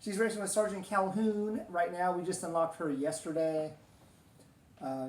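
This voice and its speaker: Loud and high-pitched, a man speaks at a moderate pace. Audible room echo surrounds his voice. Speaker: gaming video host. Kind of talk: casual gameplay commentary. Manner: hesitant, many fillers.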